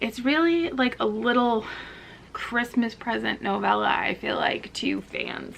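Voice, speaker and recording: Noticeable noise runs in the background. Over it, a woman speaks at a fairly slow speed. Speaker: book reviewer. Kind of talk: casual talk to camera.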